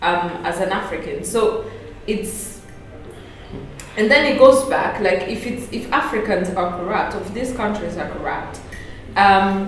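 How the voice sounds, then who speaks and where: A woman's medium-pitched voice at a fairly slow pace, with long, frequent pauses, ordinary pitch variation, audible room echo and noticeable background noise. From Rwanda. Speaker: panelist. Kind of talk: panel discussion. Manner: halting.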